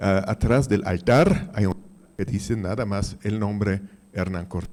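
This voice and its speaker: A man with a non-native accent speaks fairly slowly in a fairly low pitch. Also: ordinary pitch variation. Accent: foreign accent in Spanish. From Mexico, Austrian family. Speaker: audience member. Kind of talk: audience question. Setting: conference hall, handed a microphone.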